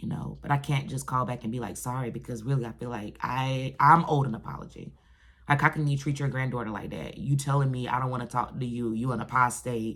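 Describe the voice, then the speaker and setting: A woman talks at a very fast pace. Her pitch is very deep and low, with ordinary variation. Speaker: ex-Jehovah's Witness vlogger. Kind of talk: personal vlog monologue. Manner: gets loud when passionate; halting, repeats words.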